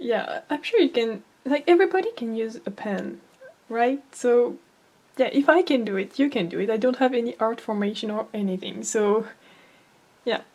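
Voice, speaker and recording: A woman with a non-native accent speaks at a moderate pace and a fairly high pitch, with lively intonation. Long, frequent pauses break her speech over noticeable background noise. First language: not English. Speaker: amateur artist, art tutorial creator. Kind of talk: tutorial. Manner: halting, many fillers.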